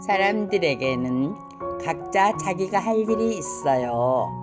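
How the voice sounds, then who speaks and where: With music in the background, a woman talks at a very slow pace, her pitch swinging very widely. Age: old. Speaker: storyteller. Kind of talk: children's story reading.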